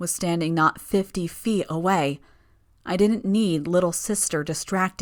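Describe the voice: What you hear is plain reading aloud.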